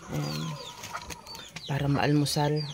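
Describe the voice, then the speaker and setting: Speech unfolds fairly slowly, with noticeable background noise present throughout. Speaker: cooking vlogger. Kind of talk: casual cooking vlog.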